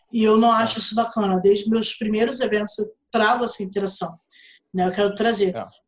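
A woman speaks in a flat, monotone way at a fairly quick pace, with a Rio de Janeiro accent. Her fairly high voice is somewhat breathy. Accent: Carioca Brazilian Portuguese. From Brazil, Rio de Janeiro. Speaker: writer and fan event organizer. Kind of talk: casual interview chat.

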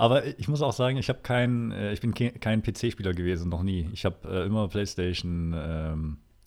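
A man with a fairly low pitch and lively intonation talks at a moderate pace with hardly any pauses. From Thuringia, Erfurt. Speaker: podcast co-host. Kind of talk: casual chat. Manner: mumbling, barely opens mouth.

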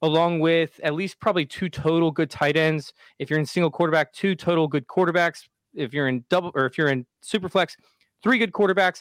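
On a very clean recording with a silent background, a man with an ordinary speaking voice talks at a fairly quick pace, fairly high for a man, with ordinary pitch variation. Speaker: fantasy football podcaster guest. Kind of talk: casual podcast discussion.

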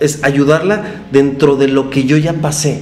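Amid noticeable background noise and audible room echo, a man speaks very slowly at a fairly high pitch. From Mexico, Guadalajara. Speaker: florist and business owner. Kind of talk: interview conversation. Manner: hesitant, many fillers.

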